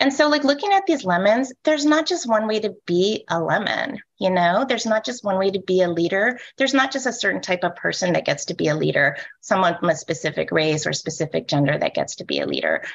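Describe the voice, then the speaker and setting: A woman speaks at a very fast pace with hardly any pauses. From Hawaii. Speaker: librarian association leader and keynote speaker. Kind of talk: keynote talk. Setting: video call. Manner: uptalk, rising sentence endings. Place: home room. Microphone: video call.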